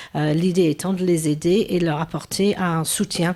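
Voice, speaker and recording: A woman's fairly low voice with fairly even intonation and a slight English accent. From England. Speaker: business owner. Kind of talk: TV interview.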